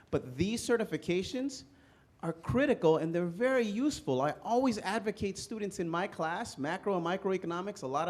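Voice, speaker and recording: Pitch swings very widely as this man talks in a Spanish accent. His pace is fairly quick. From immigrant, Spanish-speaking country. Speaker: political candidate, navy veteran and economics instructor. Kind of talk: candidate forum answer.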